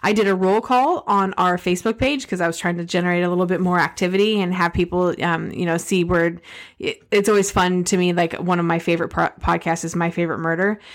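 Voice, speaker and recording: A woman has a normal speaking voice with a medium pitch, speaking at a fairly quick pace with fairly even intonation. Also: very clean recording, silent background. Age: 40s. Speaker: podcast co-host. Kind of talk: casual chat.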